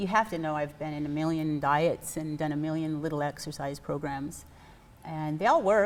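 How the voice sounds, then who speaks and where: Using an American accent, a woman talks at a moderate pace in a very deep, low pitch with fairly even intonation. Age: 60s. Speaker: fitness program member. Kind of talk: interview.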